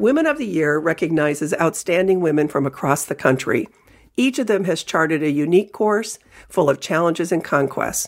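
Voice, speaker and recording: An unremarkable speaking voice from a woman, fairly low-pitched and lively in intonation, at a fairly quick pace on a very clean recording with a silent background. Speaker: newspaper columnist and podcast host. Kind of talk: scripted intro and interview narration. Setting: studio.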